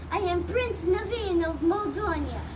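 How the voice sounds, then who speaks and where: A woman speaks at a moderate pace in a put-on character voice, with loud background noise behind her. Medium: read story. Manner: grand.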